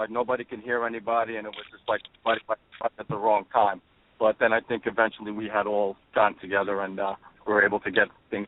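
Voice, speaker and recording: This man has a New York accent and a fairly low pitch, talking at a very fast pace. His intonation is monotone and flat, while his loudness swings widely. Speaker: rock band drummer. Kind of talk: radio interview. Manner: halting.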